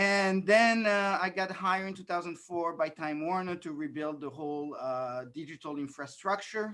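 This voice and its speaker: The speaker has a slight French accent and keeps a moderate pace. The background is quiet. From France and New York City. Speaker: political candidate. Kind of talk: candidate forum Q&A.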